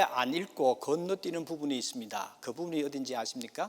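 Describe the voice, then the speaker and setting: A moderate pace and very wide pitch swings, in a Gyeongsang accent. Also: man. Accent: Gyeongsang Korean. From South Korea, Gyeongsang province (rural). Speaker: pastor. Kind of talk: sermon.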